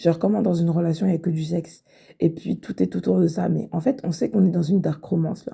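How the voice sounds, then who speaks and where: A woman talks at a very fast pace with hardly any pauses. Her fairly low, dark and mellow voice carries vocal fry and lively intonation. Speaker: podcaster reacting to a story. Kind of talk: casual chat. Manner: animated; halting.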